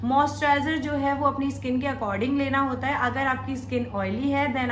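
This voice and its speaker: A woman's voice at a fairly slow pace, with audible room echo and noticeable background noise. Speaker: makeup tutorial youtuber. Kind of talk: tutorial.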